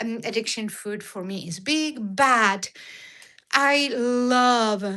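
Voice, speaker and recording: A woman's fairly high, bright, sharp voice in an Argentine accent at a very slow pace. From Argentina. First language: Spanish. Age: 60s. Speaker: diet and cooking vlogger. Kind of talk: live stream chat with viewers. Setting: live stream. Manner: halting with many fillers.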